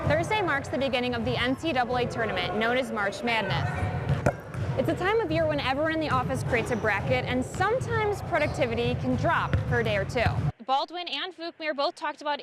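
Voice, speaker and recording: With music in the background, the speaker talks at a very fast pace in an American accent. The voice makes very wide pitch swings. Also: woman. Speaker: TV news reporter and anchor. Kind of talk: TV news reporting.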